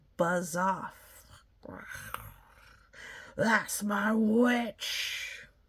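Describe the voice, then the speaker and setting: This put-on character voice sits at a fairly high pitch. It sounds croaky, shrill and growling. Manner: fierce, shouting.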